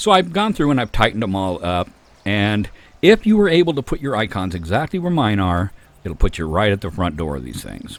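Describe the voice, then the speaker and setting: Fairly low-pitched male voice at a fairly quick pace, with very wide pitch swings, on a very clean recording with a silent background. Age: 60s. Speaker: gaming youtuber. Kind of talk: gameplay tutorial. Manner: casual, halting with fillers.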